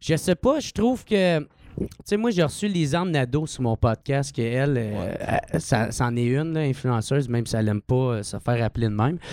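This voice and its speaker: This is an ordinary speaking voice, a man's at medium pitch. He talks at a moderate pace with lively intonation. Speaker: comedian. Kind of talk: casual chat.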